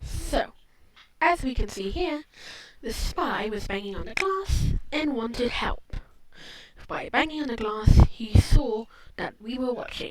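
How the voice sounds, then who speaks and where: The speaker talks quietly at a fairly slow pace, with long, frequent pauses and noticeable background noise. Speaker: video essayist. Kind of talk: video commentary. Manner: halting.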